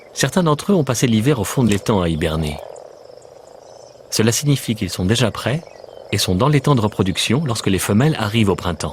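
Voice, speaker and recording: Fairly quick, lively speech from a man at a fairly low pitch, over noticeable background noise. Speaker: voice actor. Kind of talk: nature documentary voice-over. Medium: dub.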